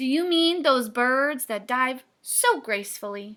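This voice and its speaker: In a put-on character voice, a woman speaks loudly at a fairly slow pace, her pitch high. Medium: read story. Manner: loud, hearty.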